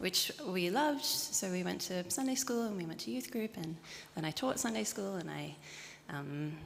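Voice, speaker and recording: With an Australian accent, a woman talks at a moderate pace in a medium pitch, her pitch swinging very widely. Noticeable background noise sits behind her. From Sydney, Australia. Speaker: churchgoer. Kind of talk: interview.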